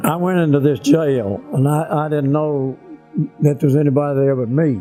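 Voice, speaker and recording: Over music in the background, a man with a Tennessee accent speaks at a moderate pace in a fairly high pitch with ordinary pitch variation. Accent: Southern American, Tennessee. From Grand Junction, Tennessee. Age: 80s+. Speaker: WWII fighter pilot and former POW. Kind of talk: interview answer, oral history.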